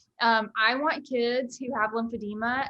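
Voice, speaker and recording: With a Southern US accent, a woman speaks at a very slow pace. Her pitch is fairly high. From US South. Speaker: summer camp founder. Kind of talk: online panel discussion.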